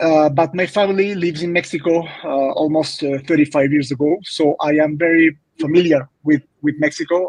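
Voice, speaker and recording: A man with a Spanish accent speaks at a moderate pace, his fairly high pitch moving in a fairly even intonation. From Venezuela, Caracas. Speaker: real estate agent. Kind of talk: interview. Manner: halting.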